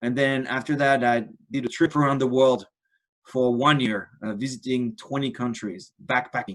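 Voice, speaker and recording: With a French accent, a man speaks at a moderate pace and medium pitch with fairly even intonation. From France. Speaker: ultra-endurance athlete. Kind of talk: presentation.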